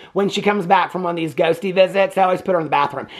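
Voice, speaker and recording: Here a man speaks with an American accent. His tone is animated. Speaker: movie reviewer, YouTuber. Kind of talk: casual movie review recap.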